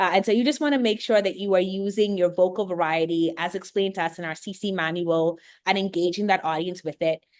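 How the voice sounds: Speaking with a Bahamian accent, a woman uses a fairly low, slightly mellow voice at a fairly quick pace with ordinary pitch variation.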